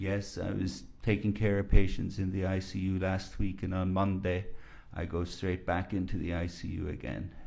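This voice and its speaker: A man's very deep, low voice with an Irish accent, a dark, mellow tone, monotone, flat intonation, and audible room echo. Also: moderate pace. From Ireland, rural County Kilkenny. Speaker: physician, expert witness. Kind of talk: courtroom testimony. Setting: courtroom.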